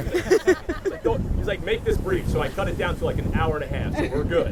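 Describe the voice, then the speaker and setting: A man talks over noticeable background noise. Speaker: wedding officiant. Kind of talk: wedding ceremony speech. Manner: loud.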